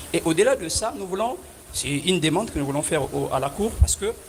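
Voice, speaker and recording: A man speaks at a fairly quick pace against noticeable background noise. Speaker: defense lawyer. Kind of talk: courtroom pleading. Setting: courtroom. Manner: formal; loud.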